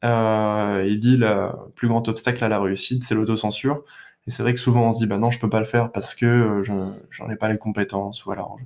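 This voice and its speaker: Monotone, flat intonation from a man at medium pitch, delivered at a moderate pace. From Paris region. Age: 20s. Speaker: aviation enthusiast. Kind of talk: interview. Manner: halting.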